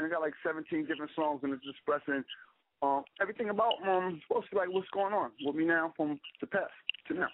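A man with an American accent talks at a very fast pace. His pitch is high, with ordinary variation. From New York (Harlem, the Bronx). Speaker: rapper turned actor. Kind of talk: radio interview. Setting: phone call.

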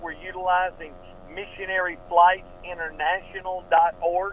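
Over noticeable background noise, a man with an American accent speaks at a fairly slow pace in a high pitch. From US South, Atlanta, Georgia. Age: 60s. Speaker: pastor and missionary pilot. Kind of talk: radio interview.

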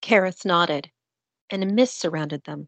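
A woman speaks at a fairly slow pace with a fairly low pitch, ordinary pitch variation and vocal fry. The sound is dry and close, with no echo.

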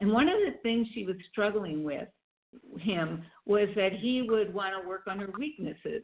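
A woman of medium pitch, with ordinary pitch variation, a moderate pace and an unremarkable speaking voice. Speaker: energy coach. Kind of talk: interview conversation. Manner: warm, laughs often.

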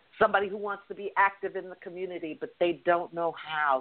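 This woman has an ordinary speaking voice with a fairly low pitch. She talks at a moderate pace with ordinary pitch variation. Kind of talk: casual chat.

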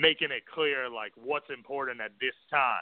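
A man talks at a moderate pace with an American accent. His pitch is medium. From New York City. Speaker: freelance business writer. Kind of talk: call-in radio interview. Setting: phone call into radio show.

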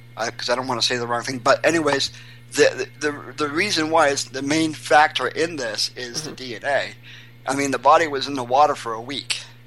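A man speaks at a fairly quick pace with fairly even intonation. Noticeable background noise sits behind him. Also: fairly high pitch for a man. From Maine, Portland. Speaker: missing persons volunteer. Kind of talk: interview.

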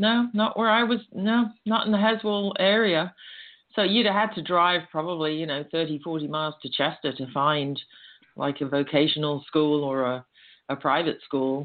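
The intonation is lively. The pace is moderate. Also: woman, fairly low pitch for a woman. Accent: English. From England. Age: 60s. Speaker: step-sister of a famous musician. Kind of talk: interview.

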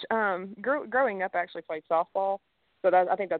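A woman is speaking. She has a Southern US accent. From Alabama, raised in Tennessee. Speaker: professional golfer. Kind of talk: radio interview. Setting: phone call.

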